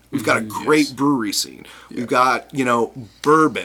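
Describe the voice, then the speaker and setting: A man uses a normal speaking voice with an American accent. His pitch is medium, his pace moderate, and his pitch variation ordinary. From US Midwest, Chicago. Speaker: brewers' trade association director. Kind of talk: casual interview.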